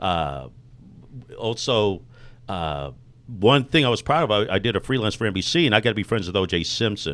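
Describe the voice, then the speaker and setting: Using a fairly quick pace broken by long, frequent pauses, a man with an American accent talks at a fairly low pitch with vocal fry and very wide pitch swings. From Texas, Grand Prairie. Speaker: online marketer and radio host. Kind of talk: interview. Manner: fast; animated.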